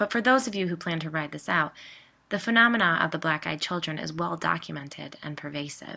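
The voice has a bright, sharp tone with vocal fry and moves at a fairly quick pace. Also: woman, very deep, low pitch for a woman. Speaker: podcast host and storyteller. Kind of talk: scripted narration of ghost stories.

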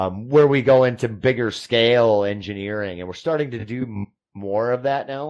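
An ordinary speaking voice from a man with an American accent, fairly low in pitch, ordinary pitch variation, moderate pace, quiet background. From US Midwest. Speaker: engineer. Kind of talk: casual chat.

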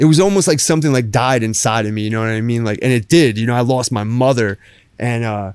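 A man with a New Jersey accent talks at a fairly quick pace in a medium pitch. The recording is very clean, with a silent background. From Jersey Shore, New Jersey. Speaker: artist and woodworker. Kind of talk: casual interview. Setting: studio, lying down.

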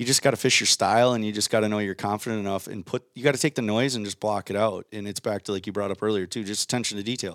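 In a very clean, dry, close recording with a silent background and no echo, a man with an Upper Midwest accent talks at a very fast pace, his fairly low voice keeping a fairly even intonation. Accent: Upper Midwest (Minnesota). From Minnesota, Waconia. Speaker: professional angler. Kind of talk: casual chat.

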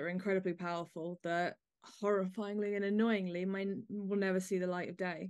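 A woman speaks with an English accent at a fairly quick pace. Her intonation is monotone and flat, over a quiet background. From England. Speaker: podcast host. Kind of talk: panel discussion hosting.

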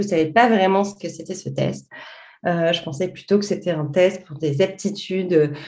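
With an ordinary speaking voice, a woman of medium pitch talks at a moderate pace, her intonation fairly even but her loudness swinging widely. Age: 40s. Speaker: journalist and coach. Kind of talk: interview.

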